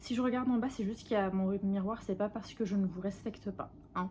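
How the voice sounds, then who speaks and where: This woman's voice has a dark, mellow tone, is somewhat breathy, and shows ordinary pitch variation. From Algeria, Kabylie (Tizi Ouzou). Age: 20s. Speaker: beauty YouTuber. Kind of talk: casual chat while doing makeup.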